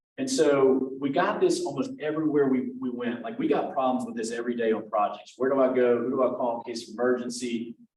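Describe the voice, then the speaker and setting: The pace is fairly quick. It's a man speaking at a medium pitch. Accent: Louisiana. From Louisiana, Lake Charles. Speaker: tech company representative presenting. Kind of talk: presentation at professional meeting. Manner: casual, many fillers.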